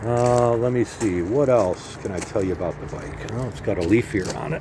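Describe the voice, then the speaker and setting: There is noticeable background noise as a man's medium-pitched voice comes through. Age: 60s. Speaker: motorcycle seller. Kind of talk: casual walk-around sales video. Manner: casual, with many fillers.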